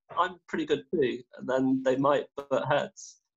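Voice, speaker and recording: Against a quiet background, a man with an English Midlands accent speaks at a moderate pace, his fairly high pitch held in fairly even intonation. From English Midlands, Derby area. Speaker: research chemist; guest. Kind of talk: interview; interview answer. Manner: halting. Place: home room. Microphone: video call.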